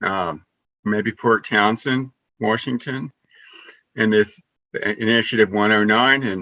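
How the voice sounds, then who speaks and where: A man's bright, sharp voice at medium pitch and a fairly slow pace, fairly even in intonation, with a dry, close sound and no echo. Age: 60s. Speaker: community member sharing psychedelic experiences. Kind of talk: personal testimony on open video call. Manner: halting, with many fillers and restarts.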